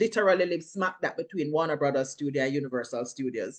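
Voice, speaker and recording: A woman's very deep, low voice in a Jamaican accent at a very fast pace. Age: 40s. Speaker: actress and filmmaker. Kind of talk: interview.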